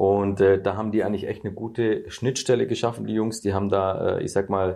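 A man with an ordinary speaking voice talks at a moderate pace and fairly low pitch. The background is quiet. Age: 30s. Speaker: real estate YouTuber. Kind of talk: casual interview.

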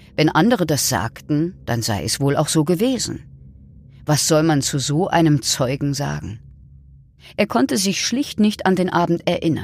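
Speaking at a fairly slow pace, a woman with a very deep, low pitch uses a serious tone and very wide pitch swings. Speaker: narrator. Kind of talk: true-crime narration. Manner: measured, serious, storytelling tone.

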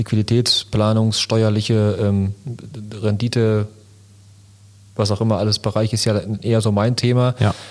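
A man's medium-pitched voice at a moderate pace. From Lünen, Ruhr area, Germany. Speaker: entrepreneur and podcast co-host. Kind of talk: casual chat.

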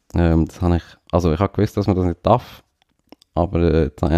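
A man's very deep, low voice, dark and mellow in tone, with fairly even intonation, dry and close with no echo against a quiet background. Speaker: podcast co-host. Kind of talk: casual chat. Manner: hesitant with many fillers.

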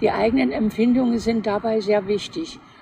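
Very slow speech from a woman with a fairly high pitch, set against noticeable background noise. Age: 80s+. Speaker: retired interior architect. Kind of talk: casual chat.

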